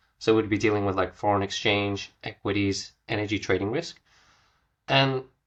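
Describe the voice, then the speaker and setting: Someone with an Australian accent talks at a fairly quick pace with ordinary pitch variation against a quiet background. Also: man. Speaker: recruiter. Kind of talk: podcast interview. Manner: soft-spoken.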